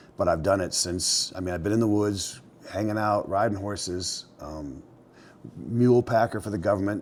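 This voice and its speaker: Speech at a moderate pace carries ordinary pitch variation. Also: man. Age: 60s. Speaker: mountain man and outfitter. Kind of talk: casual interview storytelling. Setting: indoors by fireplace at his mountain property.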